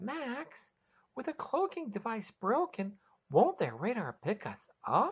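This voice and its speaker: A put-on character voice, fairly high in pitch, with very wide pitch swings at a fairly slow pace. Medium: read story.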